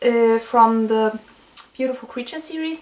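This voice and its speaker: A woman's high-pitched voice with a non-native accent, at a moderate pace, over noticeable background noise. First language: not English. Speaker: book reviewer. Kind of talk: book review monologue. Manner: halting, many fillers.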